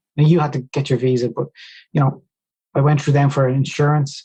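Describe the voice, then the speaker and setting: A man speaks with an Irish accent at a medium pitch, in a dark, mellow, somewhat breathy tone. His delivery is very fast, with monotone, flat intonation. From Ireland, Dunboyne, County Meath. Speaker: speed skier, former seasonal worker. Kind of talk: podcast interview.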